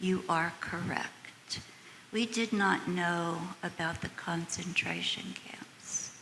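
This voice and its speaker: Whispering at a very slow pace, a woman with an American accent is heard over noticeable background noise. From United States. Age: 80s+. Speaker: audience member. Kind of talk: audience question and testimony.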